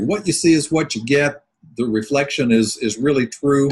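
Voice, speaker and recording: At a moderate pace, a man with a fairly high pitch and ordinary pitch variation speaks in a somewhat breathy way. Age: 60s. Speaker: sales coach. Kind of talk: webinar presentation. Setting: online webinar.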